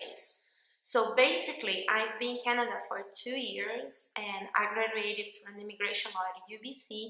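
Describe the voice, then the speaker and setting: A woman with a fairly high pitch speaks at a moderate pace in a monotone, flat intonation, her loudness swinging widely, with audible room echo and noticeable background noise. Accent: non-native. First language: Portuguese. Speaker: workshop participant. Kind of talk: testimonial.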